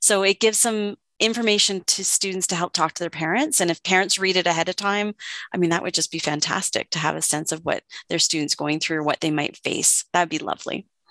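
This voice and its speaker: A woman with a Canadian accent talks at a very fast pace with a medium pitch and ordinary pitch variation. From Ontario, Canada (Oakville). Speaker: counseling psychologist and author. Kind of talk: interview. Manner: hesitant with fillers.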